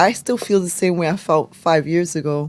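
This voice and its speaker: A woman's fairly low voice in an American accent, with ordinary pitch variation. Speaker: political livestream host. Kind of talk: political commentary livestream. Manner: loud.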